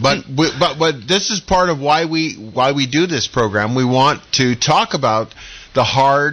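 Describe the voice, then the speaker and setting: A man with a plain, everyday voice, fairly high in pitch, with lively intonation, a fairly slow pace and an American accent. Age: 60s. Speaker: radio talk show host. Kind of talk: radio panel discussion.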